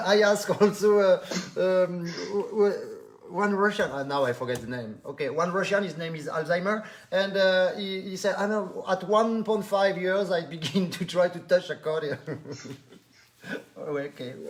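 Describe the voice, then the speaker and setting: With a French accent and a high pitch, a man talks at a moderate pace with ordinary pitch variation. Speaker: online live show host. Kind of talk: live stream interview. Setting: Facebook live stream. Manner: animated.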